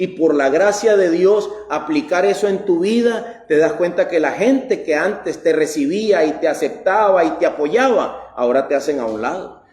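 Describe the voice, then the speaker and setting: Over noticeable background noise, a man speaks at a fairly slow pace in a high pitch with lively intonation. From Costa Rica. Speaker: pastor. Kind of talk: sermon.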